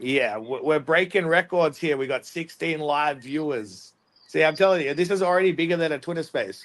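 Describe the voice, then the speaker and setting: A man in an Australian accent, fairly high in pitch, at a moderate pace. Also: ordinary pitch variation. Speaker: debate livestream host. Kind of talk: casual livestream chat. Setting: live stream on StreamYard. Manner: casual, filler-heavy.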